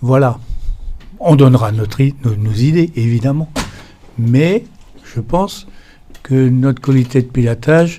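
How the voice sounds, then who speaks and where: At a very slow pace, a man talks in a medium pitch with a dark, mellow tone that is somewhat breathy. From France. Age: 70s. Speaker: association president. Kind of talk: meeting speech. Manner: halting.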